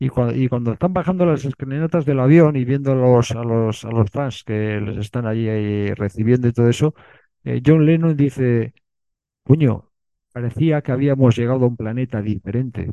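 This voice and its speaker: The voice has a dark, mellow tone and ordinary pitch variation at a moderate pace. The sound is dry and close, with no echo. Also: man, medium pitch for a man. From Bilbao, Basque Country, Spain. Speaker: writer and filmmaker. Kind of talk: interview. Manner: halting, many repetitions.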